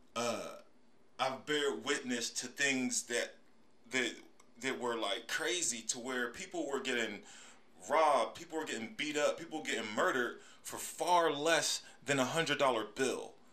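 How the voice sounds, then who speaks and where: A man with an American accent, a bright, sharp tone, fairly high pitch and ordinary pitch variation, in audible room echo. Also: fairly slow pace. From US, Pittsburgh, Pennsylvania. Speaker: podcast host. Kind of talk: casual solo monologue.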